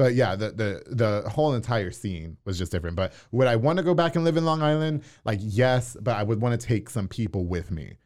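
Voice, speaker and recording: A man with an American accent talks at a fairly quick pace with hardly any pauses. His pitch swings very widely. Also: medium pitch for a man, very clean recording, silent background. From New York. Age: 30s. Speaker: radio personality and podcast host. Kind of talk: casual chat. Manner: direct.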